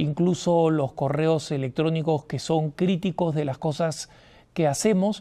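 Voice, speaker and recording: Against a quiet background, a man talks at a fairly slow pace in a fairly high pitch. His tone is dark and mellow, with ordinary pitch variation. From Latin America. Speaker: TV host. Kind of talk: TV talk show monologue. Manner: animated.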